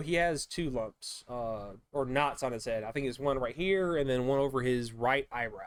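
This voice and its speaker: Someone with an American accent speaks with lively intonation. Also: man. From US, low-income urban neighborhood. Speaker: security guard and YouTuber. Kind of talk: reaction video commentary. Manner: careful enunciation.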